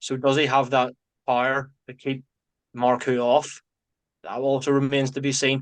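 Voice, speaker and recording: A man speaks in a flat monotone with long, frequent pauses against a quiet background. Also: medium pitch for a man, moderate pace. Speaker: boxing pundit. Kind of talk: casual chat.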